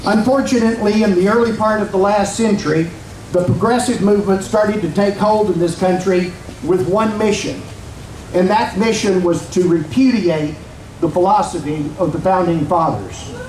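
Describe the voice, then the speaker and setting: A high-pitched man with an American accent, very even loudness, ordinary pitch variation and a moderate pace, amid audible room echo and light background noise. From Virginia, US. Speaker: rally speaker. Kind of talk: rally speech. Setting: outdoor rally with crowd. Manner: formal, rhetorical. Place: street.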